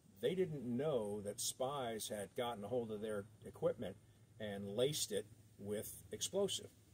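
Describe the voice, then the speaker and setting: At a fairly slow pace, a man talks with a medium-pitched, somewhat breathy voice. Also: ordinary pitch variation. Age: 60s. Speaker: video blogger. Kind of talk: casual monologue.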